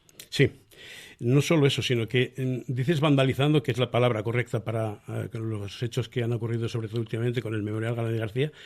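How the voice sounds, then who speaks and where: A man at medium pitch, talking very fast with fairly even intonation, in a very clean recording with a silent background. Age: 70s. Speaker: republican association member. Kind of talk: radio interview. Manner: halting.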